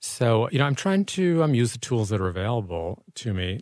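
A man with an unremarkable speaking voice, fairly low in pitch, talks at a moderate pace with lively intonation. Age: 60s. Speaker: author and journalist. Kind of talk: casual interview.

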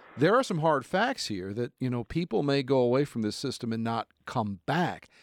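In a New Jersey accent, a man speaks in a dry, close sound with no echo on a very clean recording with a silent background. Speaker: TV news reporter and anchor. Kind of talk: casual chat. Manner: energetic.

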